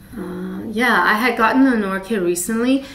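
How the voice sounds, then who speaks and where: A woman at medium pitch speaks at a moderate pace amid noticeable background noise and audible room echo. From Taiwan. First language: Mandarin. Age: 30s. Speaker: plant hobbyist vlogger. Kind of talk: casual show and tell. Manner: hesitant, many fillers.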